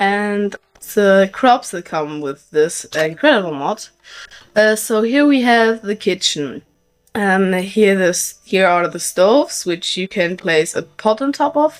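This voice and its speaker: With music in the background, a woman talks at a very slow pace using lively intonation. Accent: non-native. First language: not English. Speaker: gaming YouTuber. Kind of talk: gameplay tutorial. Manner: halting, many fillers.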